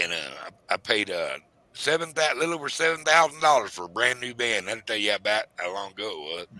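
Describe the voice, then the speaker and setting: In a Southern US accent, a man with a medium-pitched, bright and sharp voice talks at a fairly quick pace, with very wide pitch swings and some vocal fry. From US South. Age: 60s. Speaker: retired commercial fisherman and livestreamer. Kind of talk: casual chat. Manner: halting.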